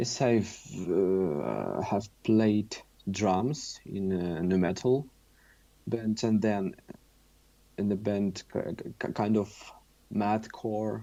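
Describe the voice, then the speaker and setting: A man with a Russian accent speaks at a very slow pace in a dark, mellow tone, fairly low in pitch with ordinary variation and long, frequent pauses. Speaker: musician. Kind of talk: interview. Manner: halting.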